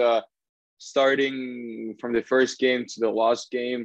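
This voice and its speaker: His intonation is monotone and flat, sitting at a medium pitch for a man. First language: Russian. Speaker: professional hockey player. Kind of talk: casual chat. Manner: halting, many fillers.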